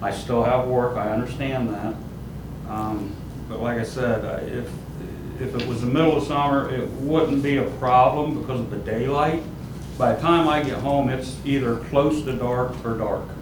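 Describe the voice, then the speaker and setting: With fairly even intonation and a medium pitch, a man speaks at a moderate pace against audible room echo and noticeable background noise. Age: 60s. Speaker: property owner, self-employed worker. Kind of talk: statement at public hearing. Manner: halting.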